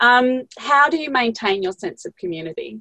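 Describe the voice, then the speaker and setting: A woman's voice, recorded with a dry, close sound and no echo. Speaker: podcast host. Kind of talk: interview chat.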